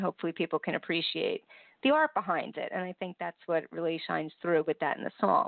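A woman with a plain, everyday voice is speaking. Her pitch is fairly low and her pace fairly quick. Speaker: radio host. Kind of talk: radio interview. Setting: online radio show.

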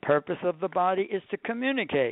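A man talks at a moderate speed, his pitch swinging very widely. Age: 70s. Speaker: author and coach. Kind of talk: radio interview. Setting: radio show.

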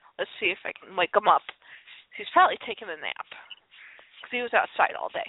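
Talking very fast with an American accent, a woman leaves long, frequent pauses while her loudness swings widely. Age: 30s. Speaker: podcast host. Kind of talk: casual chat. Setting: internet radio call-in show.

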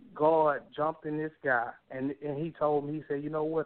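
A man's fairly high voice keeps to a moderate pace. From Texas, Beaumont. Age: 20s. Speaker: author and youth mentor. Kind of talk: interview testimony. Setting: phone call.

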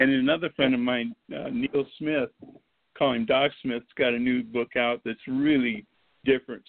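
A man with a Texan accent at a moderate pace, medium pitch and ordinary pitch variation. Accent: Texan Southern US. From East Texas, Gulf coast. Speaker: author and writing instructor. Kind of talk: casual interview chat. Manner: halting.

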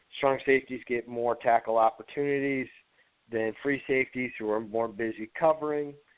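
A man talks in a normal speaking voice at medium pitch. He has an American accent and a moderate pace. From Ohio. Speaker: fantasy football writer. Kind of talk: casual chat.

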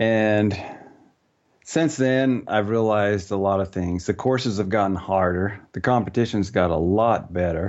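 In a normal speaking voice, a man talks at a fairly slow pace with a fairly low pitch and ordinary pitch variation. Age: 50s. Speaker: ninja warrior competitor. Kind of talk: interview.

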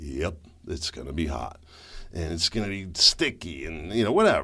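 Here a man speaks at a moderate pace with vocal fry. His tone is bright and sharp. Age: 50s. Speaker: podcast host and commentator. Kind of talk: solo political commentary podcast. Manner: casual, conversational.

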